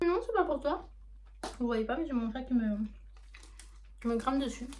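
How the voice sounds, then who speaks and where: This woman's voice sits at a fairly high pitch. She talks at a very fast pace. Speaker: manga collector YouTuber. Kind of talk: casual unboxing vlog. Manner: hesitant, many fillers.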